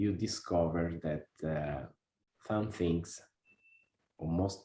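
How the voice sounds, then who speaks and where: The speaker talks at a very slow pace with an Italian accent and ordinary pitch variation. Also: man. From Italy, Como. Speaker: workshop participant. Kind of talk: interview. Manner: halting, many hesitations.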